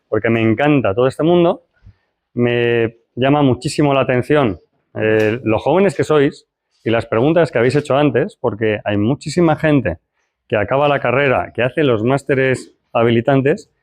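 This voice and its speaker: With very even loudness and ordinary pitch variation, a man speaks at a moderate pace and medium pitch in a normal speaking voice. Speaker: lecturer. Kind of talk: lecture; guided exercise.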